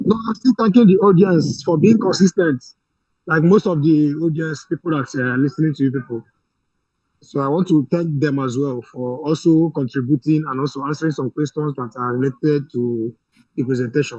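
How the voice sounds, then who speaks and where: A man with a Nigerian accent and a fairly high pitch, his tone dark and mellow, somewhat breathy, with lively intonation at a moderate pace, in a dry, close sound with no echo. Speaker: webinar participant, doctor. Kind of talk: thank-you remarks in online webinar.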